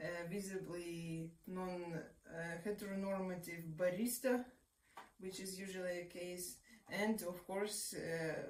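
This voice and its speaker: With a Russian accent, a woman speaks very slowly at a medium pitch with fairly even intonation, and audible room echo surrounds her voice. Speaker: researcher and activist. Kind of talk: interview. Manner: hesitant, many fillers.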